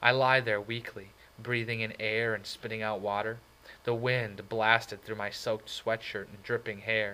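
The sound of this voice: The speech comes in an unforced reading voice with fairly even intonation.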